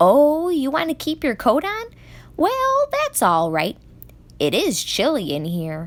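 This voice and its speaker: A female-sounding voice puts on a character, pitched high for a woman. She speaks at a fairly slow pace. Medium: read story. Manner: warm, chatty.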